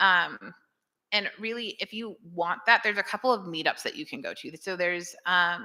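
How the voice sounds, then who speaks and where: The tone is bright and sharp. Pitch varies in an ordinary way. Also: woman, very clean recording, silent background. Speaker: conference speaker, web developer. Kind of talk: Q&A after a talk. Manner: fast.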